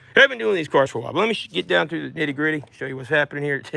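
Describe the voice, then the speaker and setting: The voice belongs to a man. Behind him there is noticeable background noise. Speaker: mobile mechanic. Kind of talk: tutorial. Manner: fast.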